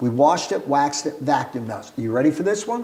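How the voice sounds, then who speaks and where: In a New York accent, a man speaks with lively intonation. Audible room echo surrounds his voice. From Brooklyn, New York City. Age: 70s. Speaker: entrepreneur. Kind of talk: casual interview storytelling.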